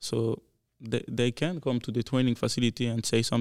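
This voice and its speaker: On a very clean recording with a silent background and a dry, close sound with no echo, a man with a French accent speaks at a fairly quick pace with fairly even intonation. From Belgium. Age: 20s. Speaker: professional soccer player. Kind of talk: casual interview. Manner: halting, non-native English.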